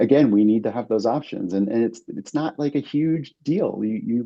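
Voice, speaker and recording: A man with an American accent, a normal speaking voice, ordinary pitch variation and a fairly quick pace. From US East Coast. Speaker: alcohol-free mixologist. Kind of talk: podcast interview.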